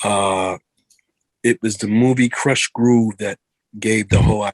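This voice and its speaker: A man's medium-pitched voice with fairly even intonation, in a dry, close sound with no echo. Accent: New York. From New York. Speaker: R&B singer. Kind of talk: interview. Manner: fast; halting, repeats words.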